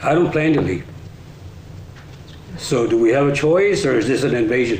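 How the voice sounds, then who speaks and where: With an American accent, a man speaks at a moderate pace and medium pitch with lively intonation and very even loudness, amid noticeable background noise and audible room echo. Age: 60s. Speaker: resident speaking at public meeting. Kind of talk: public comment. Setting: council meeting.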